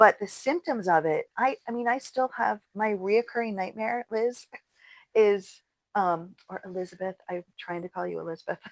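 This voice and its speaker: A woman with an ordinary speaking voice talks at a moderate pace and medium pitch, with ordinary pitch variation, in a dry, close recording with no echo. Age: 60s. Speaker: podcast co-host. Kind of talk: casual chat.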